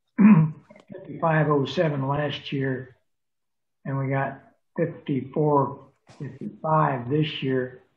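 Audible room echo surrounds a man speaking with fairly even intonation. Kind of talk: meeting report. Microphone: video call.

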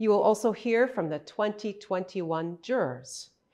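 This is a woman's voice. The background is quiet. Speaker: event host. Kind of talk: ceremony hosting address. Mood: warm, welcoming. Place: hall.

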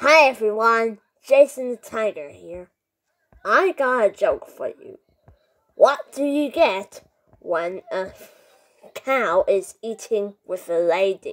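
A man puts on a cartoonish character voice, extremely high in pitch. He talks at a fairly slow pace with long, frequent pauses. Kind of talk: comedy bit, jokes to camera. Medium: puppet.

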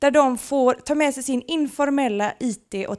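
A woman with a Gothenburg accent speaks with lively intonation against a quiet background. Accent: Gothenburg west coast dialect. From western Sweden, Gothenburg; Sweden. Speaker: project presenter; presenter. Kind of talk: short presentation to an audience. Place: meeting room. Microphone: handheld.

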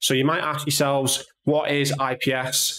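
Amid audible room echo, a man speaks in a monotone, flat intonation. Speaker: tech channel host. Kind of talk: tutorial.

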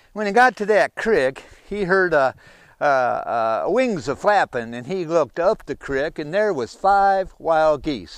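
Lively intonation marks this man's voice, which sits high in pitch. He speaks at a very slow pace, with a dry sound, no echo and a quiet background. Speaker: storyteller. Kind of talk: folk tale storytelling. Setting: outdoors. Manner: folksy, conversational. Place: forest.

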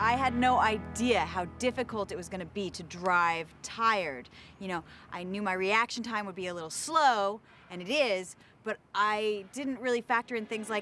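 A woman at a moderate pace with big swings in loudness, faint music behind her. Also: ordinary pitch variation, dry sound with no echo. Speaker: TV show host. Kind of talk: interview answer. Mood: animated, amused recollection. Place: open country.

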